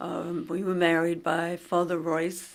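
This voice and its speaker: This woman has a Long Island accent and a fairly low pitch. Vocal fry runs through her voice. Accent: Long Island New York. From Long Island, New York. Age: 60s. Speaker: interviewee sharing memories. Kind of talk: casual reminiscing conversation. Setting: library recording booth.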